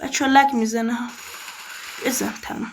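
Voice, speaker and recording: A woman with an Azeri accent speaks in a high pitch. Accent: Turkish (Azeri) accent in Persian. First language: Azerbaijani Turkish (speaking Persian). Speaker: gaming youtuber. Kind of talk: casual gameplay commentary.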